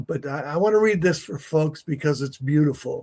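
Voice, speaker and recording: Somewhat breathy, a man with a fairly high pitch talks at a moderate pace. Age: 70s. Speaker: podcast host. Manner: halting.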